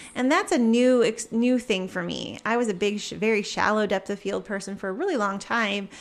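An unremarkable speaking voice moves at a fairly quick pace with ordinary pitch variation and hardly any pauses. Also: woman, fairly high pitch for a woman. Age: 40s. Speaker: photographer and teacher. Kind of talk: casual interview.

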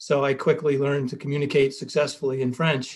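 With a Philadelphia accent, a man talks at a fairly quick pace in a somewhat breathy, fairly high voice with fairly even intonation. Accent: American, Philadelphia. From US, Philadelphia. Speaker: business school professor. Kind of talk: interview.

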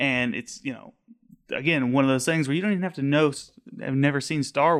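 A man talks in a normal speaking voice with an American accent and ordinary pitch variation. The recording is very clean and the background silent. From Colorado eastern plains. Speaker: library security monitor. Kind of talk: casual chat.

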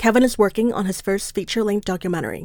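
The recording is very clean, with a silent background. It carries a plain, everyday voice with fairly even intonation. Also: woman. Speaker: podcast producer. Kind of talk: scripted narration.

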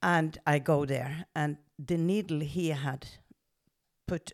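A woman speaks with a Norwegian accent at a very deep, low pitch. Vocal fry runs through her voice. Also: very clean recording, silent background. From western Norway. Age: 70s. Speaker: medium and spiritual coach. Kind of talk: personal life story.

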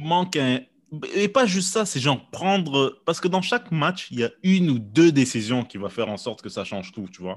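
A man talks at a moderate pace with a fairly high pitch, very wide pitch swings and big swings in loudness, on a very clean recording with a silent background. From Quebec, Montreal. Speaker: podcast host and comedian. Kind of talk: casual chat.

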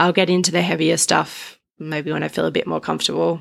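With an Australian accent, a woman is talking. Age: 30s. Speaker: podcast host. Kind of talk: personal monologue. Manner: casual.

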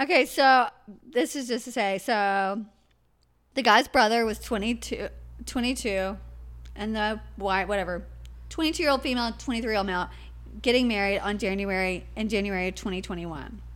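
In a plain, everyday voice, the speaker talks at a moderate pace with ordinary pitch variation on a very clean recording with a silent background. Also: woman, medium pitch for a woman. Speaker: podcast co-host. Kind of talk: casual chat. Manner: laughs often.

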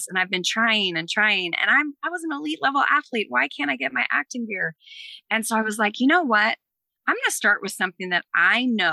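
With a fairly high pitch and very wide pitch swings, a woman with an American accent talks at a fairly quick pace in a bright, sharp tone, the sound dry and close with no echo and the recording very clean against a silent background. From US East Coast. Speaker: fitness coach and former Olympic athlete. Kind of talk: casual interview chat.

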